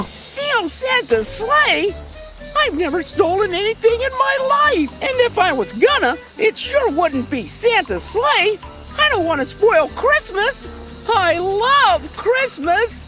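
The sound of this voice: In a cartoonish character voice at an extremely high pitch, the speaker goes at a fairly slow pace over clear music in the background.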